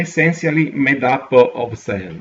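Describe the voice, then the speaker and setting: A man with an Italian accent speaks at a very slow pace. His pitch moves in an ordinary way. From Italy. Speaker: geography educator. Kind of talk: tutorial. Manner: halting, many fillers.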